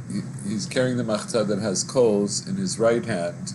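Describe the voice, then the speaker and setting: With noticeable background noise, a man speaks at a moderate pace and a fairly low pitch. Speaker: teacher. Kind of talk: lecture. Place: home room. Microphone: webcam.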